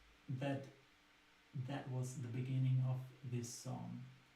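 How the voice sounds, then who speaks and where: Through audible room echo, a man at a medium pitch speaks very slowly with a German accent and monotone, flat intonation. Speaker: singer-songwriter. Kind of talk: casual talk about own songwriting. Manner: hesitant with fillers.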